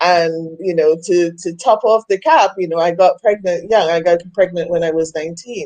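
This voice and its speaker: Her Trinidadian accent comes through as a woman speaks at a moderate pace in a fairly low, dark, mellow voice with fairly even intonation. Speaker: women's coach. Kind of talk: interview.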